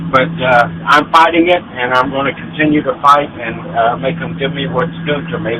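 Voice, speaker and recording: There is noticeable background noise as a man with a fairly high voice talks at a moderate pace with lively intonation. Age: 60s. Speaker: military veteran, caller. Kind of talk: phone-in call. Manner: halting, many fillers.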